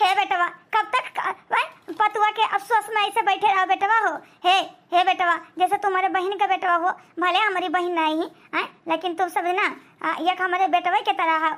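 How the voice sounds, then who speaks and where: A woman does a cartoonish character voice at an extremely high pitch, her intonation fairly even and her loudness very even. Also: moderate pace. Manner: warm, chatty, filler-heavy.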